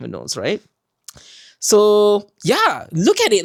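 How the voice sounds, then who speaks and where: A man's voice with very wide pitch swings, very cleanly recorded against a silent background, dry and close with no echo. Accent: Malaysian. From Malaysia. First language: Malay. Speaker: podcast co-host. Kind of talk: casual chat.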